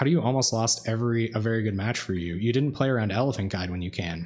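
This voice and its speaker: A soft-spoken man talks at a very fast pace. His pitch variation is ordinary. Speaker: card game streamer. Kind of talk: live gameplay commentary. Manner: casual, halting.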